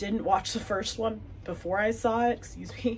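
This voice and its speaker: A woman with an American accent speaks in a plain, everyday voice at a fairly high pitch. Her pace is moderate, with ordinary pitch variation. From Wisconsin, US Upper Midwest. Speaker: knitting podcaster. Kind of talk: casual chat. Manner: chatty, filler words.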